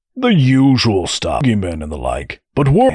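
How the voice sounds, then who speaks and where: Putting on a character voice, a man talks at a moderate pace. His pitch sits in the medium range. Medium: audio drama. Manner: breezy, defensive.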